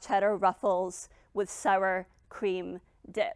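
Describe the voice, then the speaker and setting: Very slow speech comes through a very clean recording with a silent background and a dry, close sound with no echo. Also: woman. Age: 20s. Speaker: public speaking coach and author, founder of a personal-growth brand. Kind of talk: personal story told on stage, TED-style talk. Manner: reflective, confessional storytelling.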